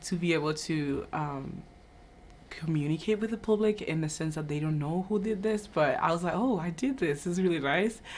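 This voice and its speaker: A woman's very deep, low voice at a fairly quick pace with ordinary pitch variation. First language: not English (English is third language). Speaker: university entrepreneurship fellow. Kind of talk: interview. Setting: video shoot. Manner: halting, many fillers.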